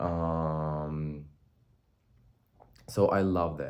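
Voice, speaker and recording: A man with a Russian accent speaks in a very deep, low voice, with audible room echo around him. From born in Armenia, schooled in Russia. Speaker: vlogger. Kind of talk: casual vlog monologue. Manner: animated.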